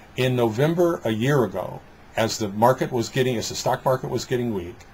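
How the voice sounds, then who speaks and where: This man speaks with an American accent. His voice is somewhat breathy and his pace fairly quick. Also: medium pitch for a man, ordinary pitch variation. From Detroit, US Midwest. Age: 60s. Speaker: business coach and trainer. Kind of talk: interview conversation. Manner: halting, with repetitions and fillers.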